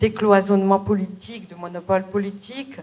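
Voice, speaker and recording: At a moderate pace, a woman talks at medium pitch over noticeable background noise. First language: Bulgarian (speaking French). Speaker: novelist. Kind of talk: interview. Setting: theatre event with audience. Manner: hesitant, many fillers.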